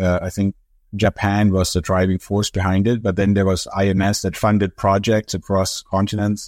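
A man with a German accent speaks at a moderate pace in a fairly low voice, recorded very cleanly with a silent background and a dry, close sound with no echo. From Germany. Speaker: professor. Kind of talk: interview. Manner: hesitant, frequent fillers and repetitions.

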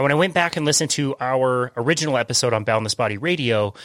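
With a normal speaking voice, a man of medium pitch uses lively intonation in a dry, close sound with no echo. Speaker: podcast host. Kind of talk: casual interview.

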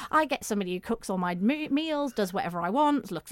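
A woman with a northern English accent, fairly high pitch, very wide pitch swings and a very fast pace. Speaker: domestic violence campaigner. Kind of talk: interview about domestic abuse.

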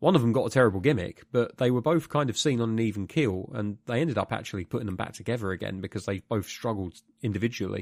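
A man with a British accent talks at a very fast pace, the sound dry and close with no echo. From UK. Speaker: podcast host. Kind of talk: casual chat.

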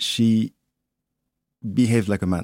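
In a French accent, a man with a dark, mellow tone speaks at a fairly slow pace, recorded very cleanly against a silent background in a dry, close sound with no echo. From Martinique and Paris. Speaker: photographer and clothing designer. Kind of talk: interview.

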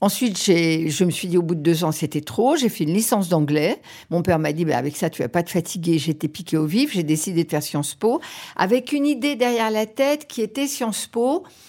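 Her dark, mellow tone sits at a fairly low pitch as this woman moves at a fairly quick pace through very wide pitch swings. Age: 70s. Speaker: radio executive. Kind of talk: interview. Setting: office. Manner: halting.

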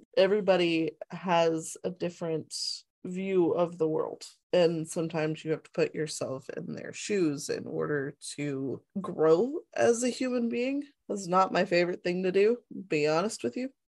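Using a plain, everyday voice, a woman speaks slowly-ish at a fairly slow pace, her fairly low pitch carrying lively intonation. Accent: American. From US South. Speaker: book club podcast co-host. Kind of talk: casual chat.

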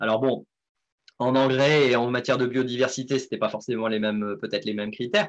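Very fast male speech at a medium pitch. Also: ordinary pitch variation. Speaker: farmer and podcast host. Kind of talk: live interview. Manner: halting.

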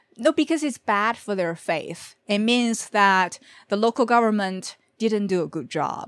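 A woman with a Chinese accent, fairly high-pitched and lively in intonation, at a fairly slow pace, on a very clean recording with a silent background. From Beijing, China. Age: 30s. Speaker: journalist. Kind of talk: casual interview.

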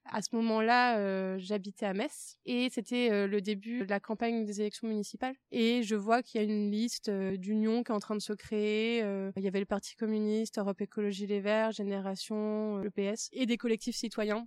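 A woman speaks at a fairly high pitch in a monotone, flat intonation with hardly any pauses, and the sound is dry and close with no echo. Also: moderate pace. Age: 20s. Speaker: youth political organizer. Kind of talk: interview. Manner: hesitant fillers.

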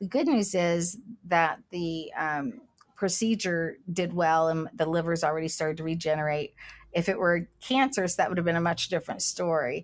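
With an American accent, a woman speaks at a moderate pace in a fairly low, unremarkable speaking voice with ordinary pitch variation. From US, West Virginia/Kentucky/Ohio tri-state area. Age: 60s. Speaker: cannabis entrepreneur. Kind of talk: casual interview.

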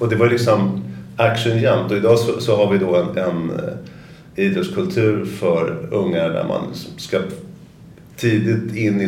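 With lively intonation and a fairly low pitch, a man speaks amid noticeable background noise and audible room echo. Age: 50s. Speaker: company founder and CEO. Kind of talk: interview conversation. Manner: halting, many repetitions and fillers.

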